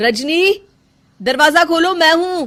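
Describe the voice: At a slow pace, someone performs a put-on character voice with lively intonation and a fairly bright tone. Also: woman, extremely high pitch for a woman.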